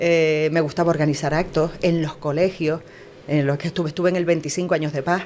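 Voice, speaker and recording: A woman talks with fairly even intonation. Noticeable background noise is present. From Canary Islands, La Palma. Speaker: news writer and broadcast announcer. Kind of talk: interview answer.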